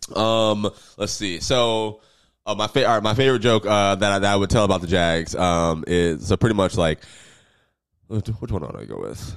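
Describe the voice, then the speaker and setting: On a very clean recording with a silent background, a man speaks in a normal speaking voice, fairly low in pitch, at a moderate pace with ordinary pitch variation. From US South, Jacksonville, Florida. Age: 20s. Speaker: comedian. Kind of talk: casual chat.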